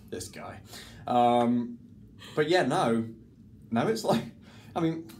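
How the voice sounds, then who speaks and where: Speaking at a very slow pace, a man with a medium pitch uses lively intonation and big swings in loudness, with audible room echo in the recording. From Scotland, between Glasgow and Edinburgh. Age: 30s. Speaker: mentalist and stage performer. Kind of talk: casual interview chat. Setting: dressing room between shows.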